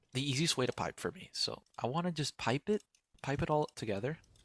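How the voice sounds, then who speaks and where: A man's fairly high-pitched voice at a fairly quick pace, with a dry, close sound and no echo. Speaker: gaming tutorial creator. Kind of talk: tutorial. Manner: casual; fast.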